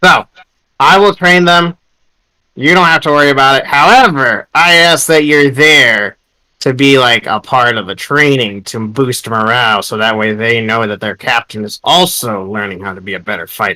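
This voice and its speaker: A man puts on a character voice at a medium pitch. He moves at a moderate pace with lively intonation. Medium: actual play. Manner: blunt, brusque.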